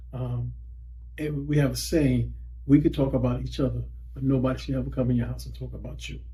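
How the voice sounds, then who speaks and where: A man talks at a fairly quick pace with big swings in loudness. Room echo is audible. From US South, Lowcountry South Carolina (Wadmalaw Island, Gullah Geechee). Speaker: school district employee sharing heritage. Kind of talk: interview. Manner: halting, many fillers and restarts.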